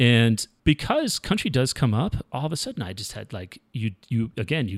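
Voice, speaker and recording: On a very clean recording with a silent background, a man of medium pitch has a plain, everyday voice and talks at a moderate pace with hardly any pauses. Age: 40s. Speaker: music supervisor for film and television. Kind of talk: casual interview chat.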